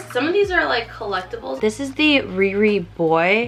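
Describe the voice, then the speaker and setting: A woman is talking. Her pace is moderate, with music in the background. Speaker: beauty vlogger. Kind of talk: casual vlog. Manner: chatty, filler-heavy.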